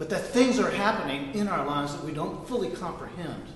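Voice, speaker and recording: A man with a fairly high pitch makes very wide pitch swings, with noticeable background noise and audible room echo. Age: 60s. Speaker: spiritual teacher. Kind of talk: sermon.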